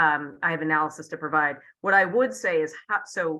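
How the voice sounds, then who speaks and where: A woman talks at a moderate pace in a bright, sharp tone. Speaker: defense official. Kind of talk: panel discussion. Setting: video call.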